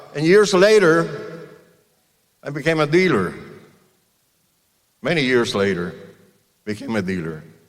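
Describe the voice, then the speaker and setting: Audible room echo surrounds a man speaking at a fairly slow pace in a fairly high pitch. His pitch swings very widely, and he leaves long, frequent pauses. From Cuba. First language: Spanish. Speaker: car dealer. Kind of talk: commencement speech.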